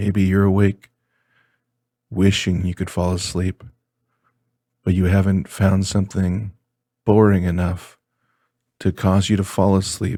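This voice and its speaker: A man speaks in a very deep, low pitch with a dark, mellow tone. His intonation is monotone and flat, broken by long, frequent pauses. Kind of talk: sleep talk-down reading of a product manual. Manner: monotone, slow.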